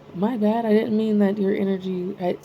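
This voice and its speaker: The woman's voice sits at a fairly high pitch. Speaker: spiritual channel host. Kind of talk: casual spiritual monologue. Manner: rambling, hesitant with fillers.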